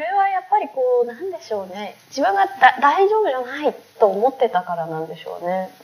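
The speaker talks at a fairly quick pace, with very wide pitch swings and big swings in loudness. Noticeable background noise is present. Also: woman, high pitch for a woman. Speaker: philosophy researcher leading dialogues. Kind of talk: casual chat.

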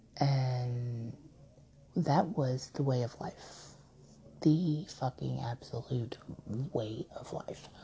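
Speaking very slowly with long, frequent pauses, a woman uses a very deep, low voice with a dark, mellow, somewhat breathy tone, ordinary pitch variation and big swings in loudness. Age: 30s. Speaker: podcaster. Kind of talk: personal monologue. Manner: halting, many fillers.

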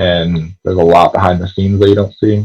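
In an American accent, a man speaks at a moderate pace with a very deep, low pitch, a dark, mellow tone, a somewhat breathy quality and monotone, flat intonation. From Connecticut, US. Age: 20s. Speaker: Instagram personality, fast food worker. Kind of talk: casual interview chat. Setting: video call.

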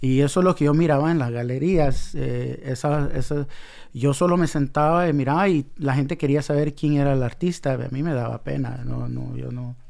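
A man's fairly high voice, with fairly even intonation, at a moderate pace. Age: 40s. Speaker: graffiti artist. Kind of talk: casual interview. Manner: hesitant, repeats words.

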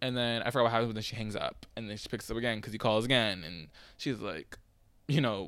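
On a very clean recording with a silent background, a man talks at a very fast pace with medium pitch. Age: 20s. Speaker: podcaster. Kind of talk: casual solo podcast monologue. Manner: fast talker, rambling; filler-heavy, chatty, self-conscious.

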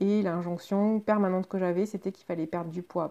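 Over a quiet background, a woman with medium pitch and a dark, mellow tone talks at a moderate pace with fairly even intonation. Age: 30s. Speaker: podcast host sharing patient experience. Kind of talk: personal monologue podcast. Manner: hesitant with frequent fillers.

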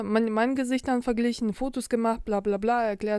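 A woman's high-pitched voice with a dark, mellow tone at a moderate pace. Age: 40s. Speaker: podcast co-host. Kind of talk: casual chat. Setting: lying in bed.

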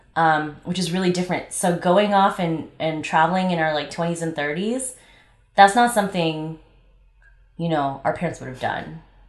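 A woman's fairly low-pitched voice, a plain, everyday voice, with ordinary pitch variation, a moderate pace and an American accent. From Los Angeles. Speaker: travel podcast co-host, event manager. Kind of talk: casual chat.

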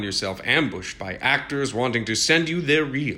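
At a moderate pace, a man delivers his lines in a dramatic tone that is bright and sharp. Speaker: narrator. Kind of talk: scripted narration. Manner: wry, mock-dramatic.

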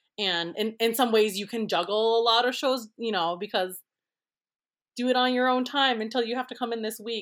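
In an American accent, a woman speaks at a moderate pace with a fairly high pitch and an ordinary speaking voice. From Minnesota, Twin Cities. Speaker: prop designer. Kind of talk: casual interview. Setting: remote recording.

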